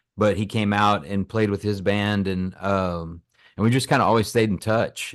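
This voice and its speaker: Pitched fairly low, a man speaks with an American accent. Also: quiet background. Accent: some country. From Texas (Lubbock, West Texas). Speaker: singer-songwriter. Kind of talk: interview. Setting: at home, remote call.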